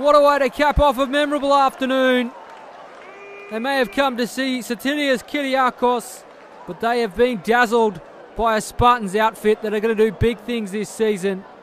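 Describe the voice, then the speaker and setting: The voice has an animated tone and ordinary pitch variation. Noticeable background noise runs underneath. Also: man, extremely high pitch for a man. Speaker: football match commentator. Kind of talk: live sports commentary. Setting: stadium match broadcast. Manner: fast-paced, animated, excitable play-by-play; rising, emphatic delivery on goals.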